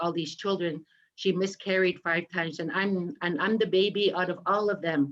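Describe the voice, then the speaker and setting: Fairly even intonation from an unremarkable speaking voice, at a moderate speed. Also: woman. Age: 50s. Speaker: residential school survivor. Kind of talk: testimony.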